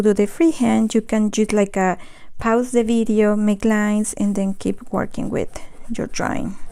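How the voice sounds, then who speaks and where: A woman's fairly high voice with a Spanish accent, dark and mellow in tone, at a moderate pace, on a very clean recording with a silent background. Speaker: watercolor art teacher. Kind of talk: live painting tutorial. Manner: halting, with false starts.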